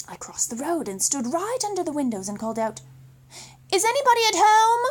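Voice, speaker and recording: With a British accent, a woman speaks at an extremely high pitch and with very wide pitch swings. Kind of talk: children's story read-aloud.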